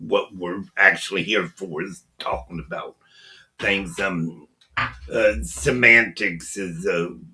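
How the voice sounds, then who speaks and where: Music plays in the background as a man with an American accent speaks at a very slow pace. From US Midwest, Ohio. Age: 70s. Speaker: podcast host. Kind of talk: casual chat. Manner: halting.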